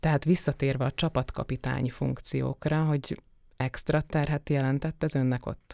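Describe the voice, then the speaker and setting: Delivered at a moderate pace, this dark, mellow voice stays monotone and flat, in a very clean recording with a silent background. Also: woman, very deep, low pitch for a woman. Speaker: podcast interviewer. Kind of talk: interview conversation. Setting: studio. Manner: formal, polite.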